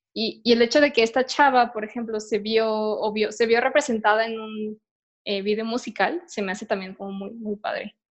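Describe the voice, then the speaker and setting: With a Mexican accent, the speaker keeps a moderate pace and fairly even intonation while the loudness swings widely. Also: woman, fairly high pitch for a woman. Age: 20s. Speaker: podcast host. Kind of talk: casual chat. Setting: at home.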